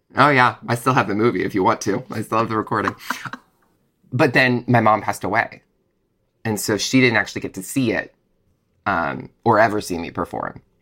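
A man with an American accent talks at a fairly quick pace in a medium pitch. His pitch variation is ordinary, and he leaves long, frequent pauses. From Texas, Dallas. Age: 30s. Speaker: playwright and actor. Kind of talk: casual interview chat.

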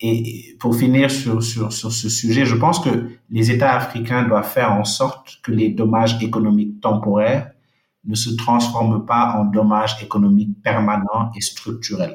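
At medium pitch, a man talks at a fairly slow pace with fairly even intonation. His voice is somewhat breathy. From Senegal, Dakar. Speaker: World Bank investment officer. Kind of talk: interview. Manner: halting, with frequent repetitions.

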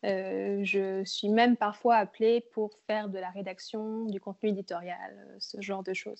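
A woman at a medium pitch and fairly slow pace, with monotone, flat intonation. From France, Berry (Bourges). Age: 20s. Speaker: freelance photographer and videographer. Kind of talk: casual interview.

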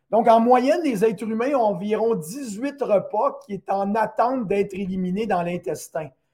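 A man with a Quebec accent speaks in a high, dark, mellow voice with ordinary pitch variation. His pace is fairly slow, with hardly any pauses. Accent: Québécois French. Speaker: naturopath and teacher. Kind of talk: educational talk on a live stream.

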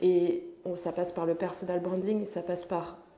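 A woman's flat, monotone voice with audible room echo. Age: 20s. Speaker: personal development coach. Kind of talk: casual chat.

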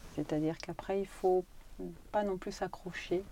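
With a dark, mellow tone and a fairly low pitch, a woman speaks at a moderate pace with fairly even intonation. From Paris suburbs, France. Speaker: oncologist. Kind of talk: interview.

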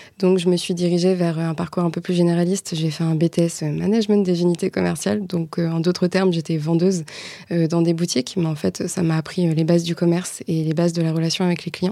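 A woman with a fairly low pitch and a dark, mellow tone speaks in a monotone, flat intonation. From Normandy, France. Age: 20s. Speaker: marketing agency co-founder. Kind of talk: interview.

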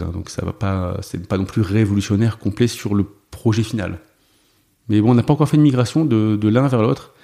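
Speaking at a moderate pace, a man uses a fairly low pitch and a dark, mellow tone with ordinary pitch variation. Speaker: software developer and open source project founder. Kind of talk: interview.

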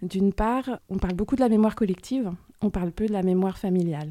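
Her voice is dark and mellow, a woman at medium pitch with ordinary pitch variation. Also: very clean recording, silent background. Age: 40s. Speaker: podcast guest sharing family story. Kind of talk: personal testimony interview. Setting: studio. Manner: hesitant, many fillers and repetitions.

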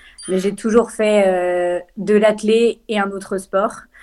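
On a very clean recording with a silent background, a woman speaks at a medium pitch with monotone, flat intonation. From France, Lyon. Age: 20s. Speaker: trail runner and law student. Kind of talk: interview. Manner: hesitant, many fillers.

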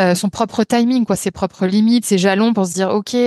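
A woman with a plain, everyday voice speaks at a medium pitch with ordinary pitch variation. The sound is dry and close with no echo, and the background is quiet. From France, Lyon. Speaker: photographer. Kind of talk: podcast interview.

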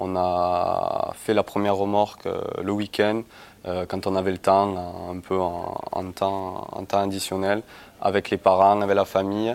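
In a fairly low pitch, a man talks at a very slow pace with a monotone, flat intonation. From southern France (Castelnaudary, Aude). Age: 20s. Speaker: company co-founder. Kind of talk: interview.

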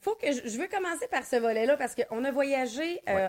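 Lively in intonation, a woman speaks at a high pitch and moderate pace, with a dry, close sound and no echo. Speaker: podcast co-host, mindset coach. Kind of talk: casual chat. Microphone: mono recording with slight distortion.

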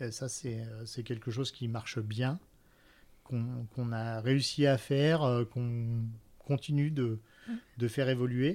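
A man with a medium-pitched voice speaks at a very slow pace, his intonation fairly even and broken by long, frequent pauses. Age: 40s. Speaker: restaurant entrepreneur. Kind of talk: interview. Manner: halting.

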